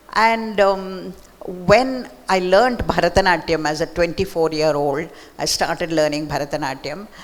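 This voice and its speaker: Speaking at a fairly slow pace, a woman has a fairly low pitch with ordinary pitch variation, and noticeable background noise runs behind her. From Mysore, southern India. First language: Marathi. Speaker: author. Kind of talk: book talk conversation. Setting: library event with audience.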